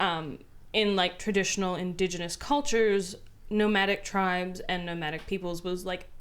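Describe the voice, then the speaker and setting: A woman talks at a moderate pace with fairly even intonation. She has a strong Canadian accent. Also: medium pitch for a woman. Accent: heavy Canadian. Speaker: tabletop game show panelist. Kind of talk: casual chat.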